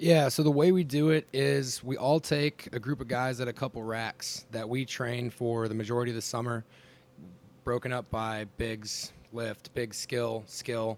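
With an ordinary speaking voice, a man talks at a moderate pace, medium in pitch with ordinary pitch variation. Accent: American. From northern Wisconsin. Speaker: graduate assistant strength coach. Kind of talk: roundtable discussion.

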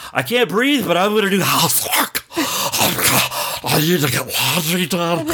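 Using a put-on character voice, a man speaks at a high pitch with lively intonation and a fairly slow pace with hardly any pauses, against clear background noise. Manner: mocking, exaggerated, wheezy.

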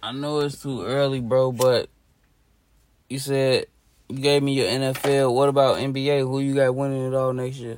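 A man at medium pitch and moderate pace, monotone, flat intonation throughout. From Chicago. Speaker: podcast co-host. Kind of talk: casual chat.

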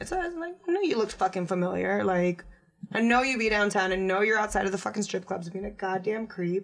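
Noticeable background noise runs through the clip. The speech comes at a very fast pace. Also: woman, medium pitch for a woman, ordinary pitch variation. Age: 20s. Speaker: stripper. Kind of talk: casual chat.

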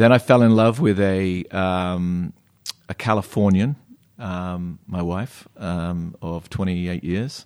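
On a very clean recording with a silent background, a man with an American accent speaks very slowly in a very deep, low voice with ordinary pitch variation. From England, Devon (near Plymouth). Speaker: brewery co-founder. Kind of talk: interview conversation. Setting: in person. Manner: halting, many fillers.

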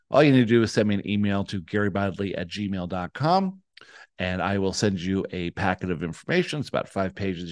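A man speaks in a plain, everyday voice at a fairly low pitch with ordinary pitch variation. His pace is fairly quick against a quiet background. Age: 60s. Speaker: spiritual podcast co-host. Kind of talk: promotional pitch; casual chat.

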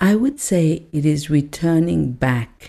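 A very slow, calm delivery in a dark, mellow tone. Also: woman. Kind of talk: personal testimony of a spiritual awakening, told as a reflective life story. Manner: calm, reflective, earnest, slow-paced storytelling with repetition for emphasis.

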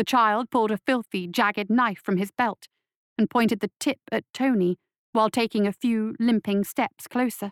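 An unforced reading voice with fairly even intonation against a quiet background

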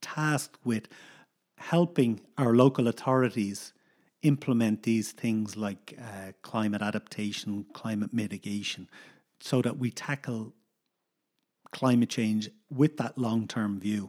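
A man's voice in a Dublin accent, very slow with long, frequent pauses and ordinary pitch variation, in a very clean recording with a silent background. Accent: Dublin Irish. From Ireland, Dublin. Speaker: coastal geomorphologist, university researcher. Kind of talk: casual interview.

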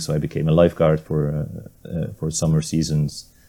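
The speaker has a Hungarian accent. The tone is dark and mellow. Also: man. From Hungary. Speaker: maritime archaeologist and sailor. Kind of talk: interview.

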